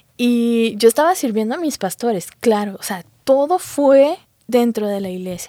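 A woman with a fairly high pitch speaks in an unremarkable speaking voice. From Guatemala. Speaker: physician giving church testimony. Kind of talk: testimony.

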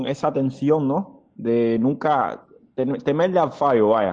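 This is a man speaking. His pace is very slow. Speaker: football fan club vice president. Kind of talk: interview. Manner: hesitant, many fillers.

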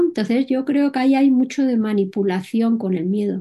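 A woman speaks at a moderate pace in a Madrid accent, with lively intonation and a fairly high pitch. Her tone is dark and mellow, and somewhat breathy. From Spain, Madrid. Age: 60s. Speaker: entrepreneur and solo motorcycle traveller. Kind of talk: interview.

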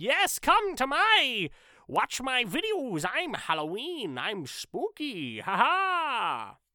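This put-on character voice sits high in pitch with very wide pitch swings. Delivery is very slow. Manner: spooky, playful.

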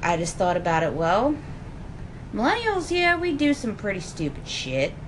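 Lively intonation marks a woman speaking at a moderate pace with an American accent. Noticeable background noise and audible room echo are present. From Philadelphia area. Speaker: college student. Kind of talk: casual chat.

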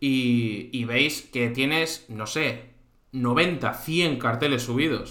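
There is audible room echo along with noticeable background noise. Through it, a man talks. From Spain, Santander (Cantabria). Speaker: live stream host. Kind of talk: casual chat. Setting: live stream.

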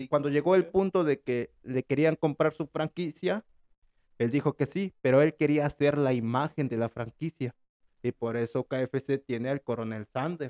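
At a fairly slow pace, the voice has a dark, mellow tone and a dry, close sound with no echo. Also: man, fairly high pitch for a man, ordinary pitch variation. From Mexico. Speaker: podcast host. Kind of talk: casual chat.

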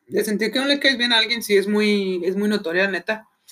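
The voice is raised and projected, with a bright, sharp tone at a moderate pace. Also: man. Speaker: podcast host. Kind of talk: casual chat.

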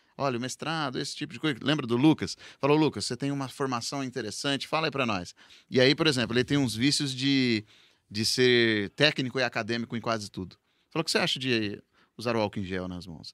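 In an unremarkable speaking voice, a man talks at a fairly quick pace with medium pitch and ordinary pitch variation, the sound dry and close with no echo on a very clean recording with a silent background. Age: 30s. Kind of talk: casual chat.

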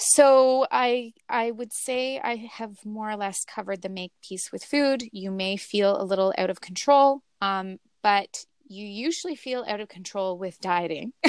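A woman with a plain, everyday voice talks at a fairly slow pace and a fairly high pitch, her intonation lively. Her loudness swings widely, and the sound is dry and close with no echo. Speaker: intuitive eating guest. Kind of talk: interview conversation.

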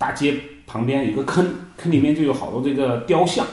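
Audible room echo hangs on this voice. The man talks at a fairly quick pace. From China, Hunan (Yueyang). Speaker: software engineer and wine trader. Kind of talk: casual interview chat. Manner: halting, many fillers.

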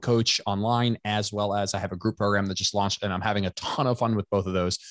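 In a very clean recording with a silent background and a dry, close sound with no echo, a man speaks at a very fast pace with fairly even intonation. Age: 30s. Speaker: personal trainer and coach. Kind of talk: casual chat.

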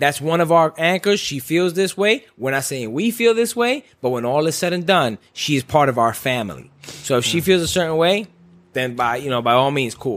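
A man speaks in an animated tone at a fairly high pitch. His pitch swings very widely. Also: moderate pace. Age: 30s. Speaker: podcast host. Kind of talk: casual chat. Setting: studio.

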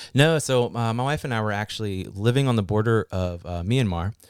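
The background is silent on this very clean recording. The speaker is a man with an American accent. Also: dry, close sound with no echo. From West Virginia (Fairmont). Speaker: remote worker program coordinator. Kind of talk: casual interview.

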